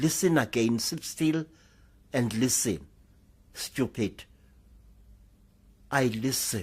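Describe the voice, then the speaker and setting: Very slow and somewhat breathy, the delivery has lively intonation and long, frequent pauses. The recording is very clean, with a silent background. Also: man, medium pitch for a man. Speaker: sangoma storyteller. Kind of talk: live oral storytelling.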